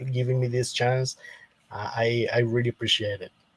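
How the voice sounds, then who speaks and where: With a Spanish accent, a man speaks at a medium pitch. His voice is somewhat breathy. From Costa Rica. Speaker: Adventist believer, debate guest. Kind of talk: theological debate. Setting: live stream. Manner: halting, many repetitions.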